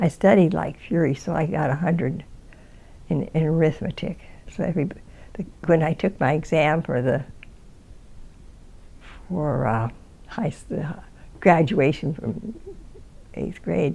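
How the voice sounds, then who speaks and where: A woman with an American accent has a very deep, low pitch and a dark, mellow, somewhat breathy tone. She talks at a fairly slow pace with long, frequent pauses. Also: ordinary pitch variation. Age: 80s+. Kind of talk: interview answer. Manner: hesitant, rambling.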